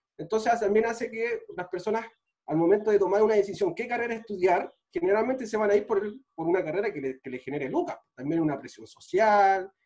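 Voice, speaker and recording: Speaking with a Chilean accent, a man talks at a fairly quick pace in a high pitch with lively intonation. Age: 30s. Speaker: physical trainer and sports physiotherapist. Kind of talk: casual chat.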